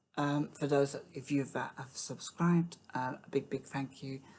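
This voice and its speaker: Soft-spoken, a woman with a British accent talks in a very deep, low pitch. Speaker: music reaction youtuber. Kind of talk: casual chat. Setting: at home, early morning. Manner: halting.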